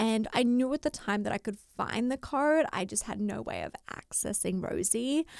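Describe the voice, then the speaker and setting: A woman with an Australian accent talks at a fairly high pitch and moderate pace, with lively intonation and hardly any pauses. The very clean recording has a silent background and a dry, close sound with no echo. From Australia, Rockhampton, Queensland. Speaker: fashion sourcer and writer. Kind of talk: podcast interview.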